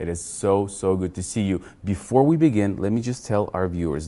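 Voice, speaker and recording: A man with a Russian accent speaks at a very deep, low pitch in a dark, mellow tone. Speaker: channel host. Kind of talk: interview.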